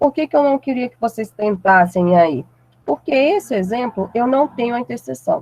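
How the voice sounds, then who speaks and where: A woman's high-pitched voice with very wide pitch swings, in a dry, close sound with no echo. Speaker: math teacher. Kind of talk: lecture. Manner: deliberately slowed down.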